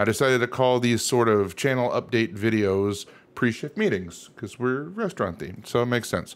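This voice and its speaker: A man's speech moves at a moderate pace, and his pitch varies in an ordinary way. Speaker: channel creator. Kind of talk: casual vlog chat over slides. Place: home room. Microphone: studio mic.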